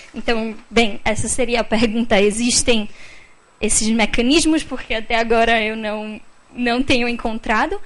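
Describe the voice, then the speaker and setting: Audible room echo surrounds a woman with a non-native accent who keeps a fairly even intonation. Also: fairly high pitch for a woman, fairly slow pace. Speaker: audience member asking a question. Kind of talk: question from the floor at a panel event. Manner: halting, many fillers.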